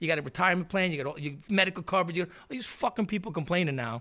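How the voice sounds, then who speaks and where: With a New York accent, a man uses a raised, projected voice with a bright, sharp tone. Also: very clean recording, silent background. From New York City, Queens (Astoria). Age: 50s. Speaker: punk musician. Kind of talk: casual chat. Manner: animated.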